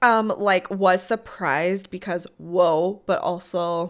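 With a Midwestern US accent, a woman talks at a medium pitch with fairly even intonation. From US Midwest. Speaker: podcast co-host. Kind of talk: casual chat.

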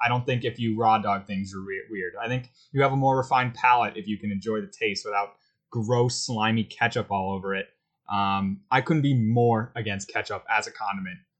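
A man talks fairly quickly at a medium pitch in a normal speaking voice. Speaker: sports podcast host. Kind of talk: casual chat.

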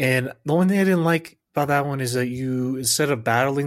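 On a very clean recording with a silent background, a man with an ordinary speaking voice talks fairly quickly at a medium pitch, with ordinary pitch variation. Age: 20s. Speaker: podcast co-host. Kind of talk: casual chat.

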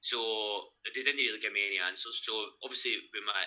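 A man speaks with a Lanarkshire accent. His pace is fairly quick. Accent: Scottish (Lanarkshire). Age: 30s. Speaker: gym owner and online coach. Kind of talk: casual interview.

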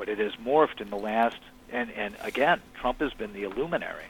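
A man with an American accent and a plain, everyday voice, medium pitch, ordinary pitch variation, moderate pace. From US Midwest (Chicago). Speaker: author. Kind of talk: interview. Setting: phone call.

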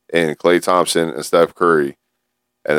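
A man with an American accent speaks at a moderate pace in a very deep, low pitch with monotone, flat intonation. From San Gabriel Valley, Los Angeles area. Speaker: podcast co-host. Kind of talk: casual chat.

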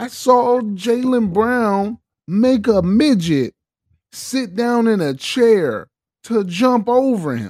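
This man's pitch is high. He speaks at a very slow pace. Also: ordinary pitch variation. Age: 40s. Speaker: podcast co-host. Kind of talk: casual chat.

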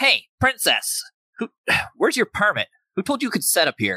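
This is a put-on character voice with a nasal quality. The sound is dry and close, with no echo. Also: man, extremely high pitch for a man, moderate pace. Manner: bossy, condescending.

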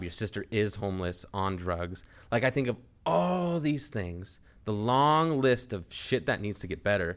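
A man with a normal speaking voice and a fairly low pitch talks with lively intonation. The recording is very clean and the background silent. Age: 20s. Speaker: podcast host. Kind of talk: casual chat.

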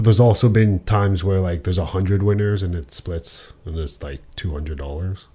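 At a fairly quick pace with hardly any pauses, a man with a very deep, low, somewhat breathy voice speaks in a dark, mellow tone, in a very clean recording with a silent background. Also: ordinary pitch variation. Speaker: podcast co-host. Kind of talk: casual chat about sports and betting picks. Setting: office, recorded on camera.

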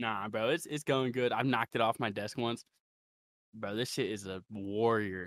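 A plain, everyday voice: a man of medium pitch with an American accent, ordinary pitch variation and a moderate pace, dry, close sound with no echo, and a very clean recording with a silent background. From Ohio, Ravenna. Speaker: underground rapper. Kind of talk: casual interview chat.

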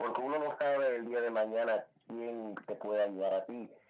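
Fairly slow and fairly even in intonation, a man speaks at a medium pitch in an unremarkable speaking voice. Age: 50s. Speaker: salsa DJ and singer. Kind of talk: radio interview.

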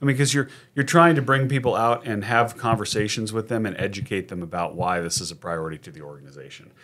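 Over a silent background in a very clean recording, a man with an American accent and medium pitch talks very fast with lively intonation and big swings in loudness. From Sacramento, California. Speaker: contract lobbyist. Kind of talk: casual interview.

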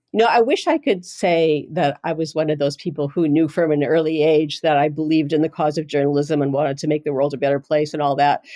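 Speaking with a Manitoban accent, a woman has a very deep, low pitch and a dark, mellow tone. She talks at a very fast pace with fairly even intonation. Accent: Canadian (Manitoba). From Canada, Winnipeg North End. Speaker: journalist and editor. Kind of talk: interview.

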